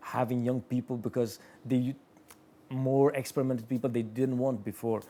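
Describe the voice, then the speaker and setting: A man speaks with an Albanian accent. His tone is dark and mellow. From Kosovo. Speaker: watchmaker. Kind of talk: interview. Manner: halting, repeats words.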